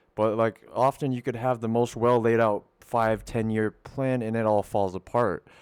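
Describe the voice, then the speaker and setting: A man's medium-pitched, monotone, flat delivery with hardly any pauses, dry and close with no echo. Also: moderate pace. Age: 30s. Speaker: podcast host. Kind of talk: casual chat. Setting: home studio. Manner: halting, with many repeated words.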